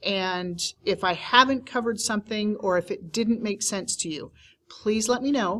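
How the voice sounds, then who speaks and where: A woman speaks in a plain, everyday voice, fairly high in pitch, at a moderate pace. The recording is very clean, with a silent background. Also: ordinary pitch variation. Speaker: teacher trainer. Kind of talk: tutorial.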